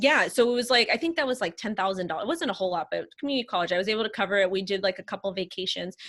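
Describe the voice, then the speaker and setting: A woman talks at a very fast pace with hardly any pauses. Her intonation is lively. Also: medium pitch for a woman. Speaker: crypto influencer and marketing consultant. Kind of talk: casual interview chat.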